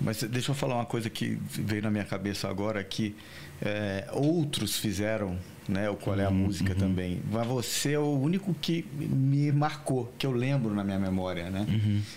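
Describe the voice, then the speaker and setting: A man speaks in a plain, everyday voice. His intonation is lively. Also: fairly low pitch for a man, moderate pace, very even loudness. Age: 20s. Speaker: podcast host. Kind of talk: casual chat.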